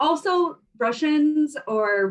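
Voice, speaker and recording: A woman talks with lively intonation. Behind her, music is playing. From US, grew up in ex-Soviet immigrant community. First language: Russian. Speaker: fashion brand founder and travel blogger. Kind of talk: podcast interview. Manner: casual, many fillers like 'like' and 'um'.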